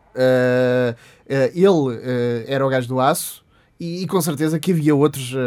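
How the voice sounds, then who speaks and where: Here is a man with an ordinary speaking voice at medium pitch. His pitch varies in an ordinary way. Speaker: podcast co-host. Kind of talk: casual chat.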